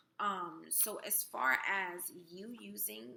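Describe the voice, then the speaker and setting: A woman's bright, sharp tone with vocal fry and very wide pitch swings. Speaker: spirituality vlogger. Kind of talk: casual vlog talk. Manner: hesitant, many fillers.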